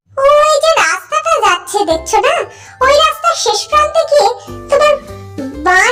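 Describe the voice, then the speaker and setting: In a cartoonish character voice at an extremely high pitch, the speaker moves at a moderate pace with very wide pitch swings over clear music in the background. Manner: friendly, chatty.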